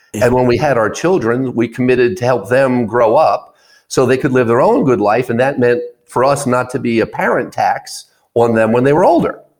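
A man with a plain, everyday voice speaks at a moderate pace and medium pitch, with ordinary pitch variation. His loudness stays very even on a very clean recording with a silent background. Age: 60s. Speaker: business founder and author. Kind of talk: radio interview. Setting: studio.

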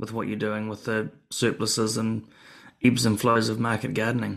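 A man with a New Zealand accent speaks at a medium pitch against a quiet background. His pace is fairly quick. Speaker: podcast host. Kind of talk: casual interview conversation.

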